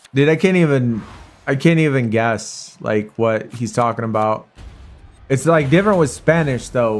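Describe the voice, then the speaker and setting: A man with an American accent talks at a moderate pace and a medium pitch. His intonation is lively, with music in the background. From Arizona, US. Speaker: mobile game streamer. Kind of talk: casual live-stream chat with viewers. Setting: live stream.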